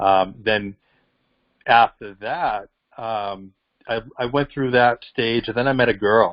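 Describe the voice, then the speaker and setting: This man talks in a strong Boston accent with fairly even intonation. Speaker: professional boxer. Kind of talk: interview answer. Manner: passionate.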